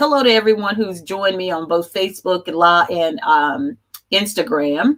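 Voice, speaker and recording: Lively intonation marks this woman's delivery. She speaks at a medium pitch and a moderate pace. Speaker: life coach. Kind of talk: live stream talk. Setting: live stream. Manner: loud; halting.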